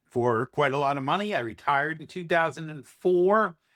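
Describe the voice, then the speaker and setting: Recorded very cleanly against a silent background, a man speaks at a moderate pace in a fairly high pitch. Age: 60s. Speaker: entrepreneur and investment analyst. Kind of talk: podcast interview. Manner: halting, with many fillers.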